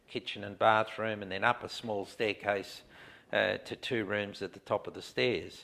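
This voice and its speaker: In an Australian accent, a man talks at a moderate pace with a fairly low pitch and monotone, flat intonation. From Australia (Adelaide). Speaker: man telling his life story. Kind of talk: life story interview. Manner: halting, many fillers.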